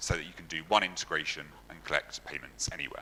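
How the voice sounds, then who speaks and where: A man talks at a fairly quick pace while noticeable background noise goes on. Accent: London. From London, England. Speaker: software engineer, conference speaker. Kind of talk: conference talk.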